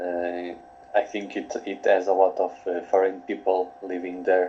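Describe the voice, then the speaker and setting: Speaking at a fairly slow pace, a man delivers his words in a very deep, low pitch with monotone, flat intonation. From Portugal. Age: 20s. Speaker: coaching client. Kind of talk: coaching session. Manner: halting.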